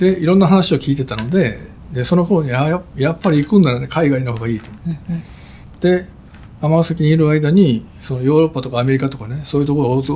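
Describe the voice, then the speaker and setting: A man's normal speaking voice, fairly high in pitch, fairly quick, with ordinary pitch variation and big swings in loudness. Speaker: pediatric heart surgeon. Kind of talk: interview.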